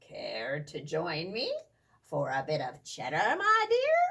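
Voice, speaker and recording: The speaker uses a put-on character voice and moves at a fairly slow pace. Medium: read story. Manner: muttering.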